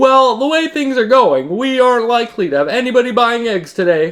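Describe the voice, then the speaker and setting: A man performs a put-on character voice at an extremely high pitch. He speaks fairly quickly with lively intonation. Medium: read story.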